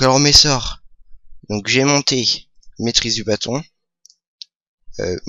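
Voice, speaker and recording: A man is speaking. His pace is very slow. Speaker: gaming youtuber. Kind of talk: gameplay commentary. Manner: hesitant, many fillers. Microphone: new microphone.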